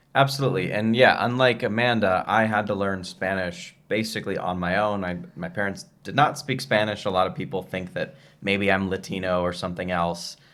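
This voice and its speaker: With an American accent, a man talks at a fairly quick pace in a plain, everyday voice, fairly low in pitch with ordinary pitch variation. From United States. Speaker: travel and business video host. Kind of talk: casual chat.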